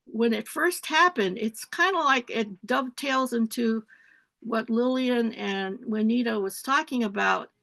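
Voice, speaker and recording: Speaking with an American accent, a woman has a bright, sharp tone and a fairly high pitch with ordinary pitch variation. The sound is dry and close with no echo, over a quiet background, at a fairly slow pace. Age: 70s. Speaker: retired professor and community activist. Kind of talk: panel talk on webinar. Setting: webinar.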